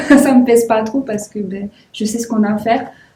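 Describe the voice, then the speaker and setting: A woman's fairly high voice with a southwestern French accent and fairly even intonation. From southwest France, Toulouse. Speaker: volleyball player. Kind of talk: interview. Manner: casual.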